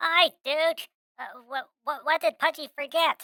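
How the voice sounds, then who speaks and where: A squeaky, high-pitched character voice is put on at a fairly slow pace. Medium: virtual streamer. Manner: refers to himself in third person.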